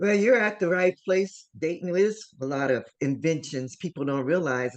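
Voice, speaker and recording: A woman with an American accent has an unremarkable speaking voice and a fairly low pitch. She talks at a moderate pace with lively intonation. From Ohio, US Midwest. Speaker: show host. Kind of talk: interview.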